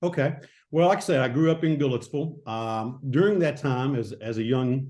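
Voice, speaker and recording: A man at a medium pitch with a Tennessee accent, a dark, mellow tone, ordinary pitch variation and a fairly quick pace. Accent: Southern US (Tennessee). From Middle Tennessee, US South. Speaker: retired state investigator. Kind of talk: interview. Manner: halting.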